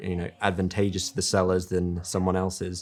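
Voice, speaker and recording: A man in an English accent, very deep and low in pitch, at a very fast pace, on a very clean recording with a silent background. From England. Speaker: real estate agent. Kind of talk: interview. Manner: calm.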